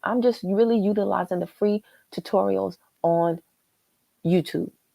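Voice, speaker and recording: The sound is dry and close, with no echo. A woman speaks on a very clean recording with a silent background. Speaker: YouTuber doing a live stream. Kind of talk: casual live stream chat. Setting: live stream. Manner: fast.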